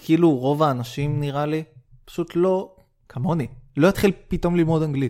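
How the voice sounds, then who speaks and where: The recording is very clean, with a silent background. A man talks at a moderate pace in a fairly high pitch and a dark, mellow tone, with big swings in loudness. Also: ordinary pitch variation. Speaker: podcast co-host. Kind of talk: casual chat.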